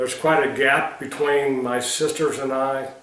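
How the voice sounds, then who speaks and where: Over noticeable background noise and audible room echo, a man speaks at a medium pitch and a fairly slow pace with fairly even intonation. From US Midwest, Missouri Ozarks. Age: 70s. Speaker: retired military general, war veteran. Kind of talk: oral history interview.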